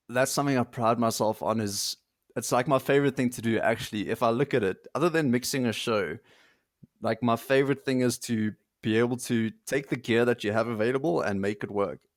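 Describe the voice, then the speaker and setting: A man talks at a medium pitch with ordinary pitch variation and an unremarkable speaking voice. The sound is dry and close with no echo, and the recording is very clean over a silent background. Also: fairly quick pace. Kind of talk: casual interview chat.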